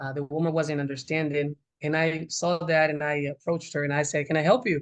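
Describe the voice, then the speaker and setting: A man speaks with a Spanish accent at a moderate pace. His pitch is fairly high. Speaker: Spanish teacher. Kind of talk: interview answer.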